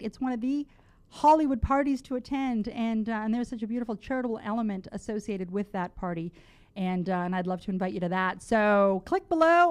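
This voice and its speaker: Against a quiet background, someone with a slight Canadian accent speaks at a moderate pace with lively intonation. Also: woman. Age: 40s. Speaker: talk radio host. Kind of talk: talk radio announcements. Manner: animated.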